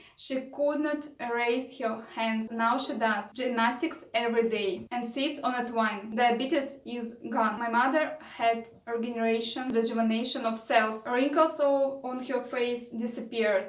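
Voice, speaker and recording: A woman with a Russian accent speaks at a high pitch and a fairly slow pace, with fairly even intonation and audible room echo. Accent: non-native English, Russian. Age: 30s. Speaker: vlogger, raw food advocate. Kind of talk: vlog monologue. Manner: halting.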